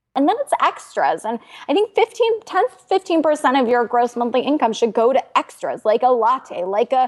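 High-pitched woman at a moderate pace with very wide pitch swings and a dry, close sound with no echo. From United States, first-generation immigrant family. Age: 30s. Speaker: financial journalist and author. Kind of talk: interview.

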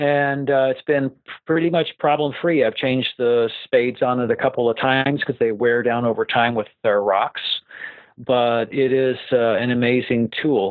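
Recorded dry and close with no echo, a man with a normal speaking voice talks at a medium pitch and moderate pace, with fairly even intonation and very even loudness. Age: 60s. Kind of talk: interview.

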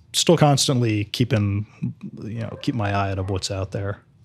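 Very clean, with a silent background, this recording captures a man speaking at a fairly low pitch. His voice is somewhat breathy, with ordinary pitch variation. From New Jersey. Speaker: author and crime historian. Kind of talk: interview.

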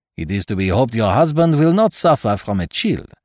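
Someone reads in an unforced reading voice.

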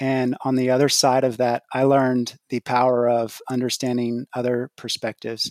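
This man has a Texan accent and a medium-pitched voice. He talks at a moderate pace in a flat monotone, the sound dry and close with no echo. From Texas. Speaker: podcast listener and investor. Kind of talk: casual chat. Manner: halting.

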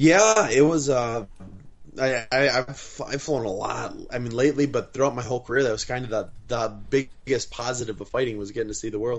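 Medium-pitched male speech at a moderate pace, an unremarkable speaking voice with ordinary pitch variation. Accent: American. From Wisconsin. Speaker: professional MMA fighter. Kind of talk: casual interview. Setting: video call.

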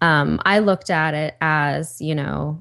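A woman speaks with ordinary pitch variation. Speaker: author. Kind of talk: interview. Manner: animated.

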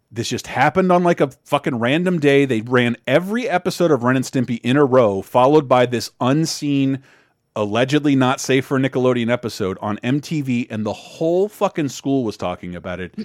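With an American accent and an ordinary speaking voice, a man talks at medium pitch and a fairly quick pace with hardly any pauses and lively intonation. The sound is dry and close with no echo, in a very clean recording with a silent background. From Florida. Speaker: podcast host. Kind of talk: casual chat.

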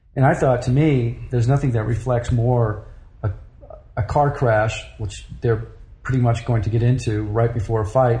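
In an American accent, a somewhat breathy voice with a dark, mellow tone carries audible room echo. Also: man. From grew up in Europe (Paris, Brussels, Germany), American. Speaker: photographer. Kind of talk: interview.

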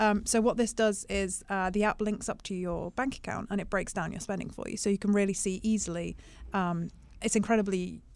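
A woman speaks at a very fast pace in a medium pitch with monotone, flat intonation, on a very clean recording with a silent background. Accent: British. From UK. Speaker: stock market analyst. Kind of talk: casual chat. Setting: studio.

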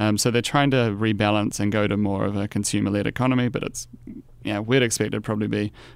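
A man with a New Zealand accent, fairly low in pitch and fairly quick, with fairly even intonation on a very clean recording with a silent background. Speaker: investment analyst. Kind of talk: casual interview. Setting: studio.

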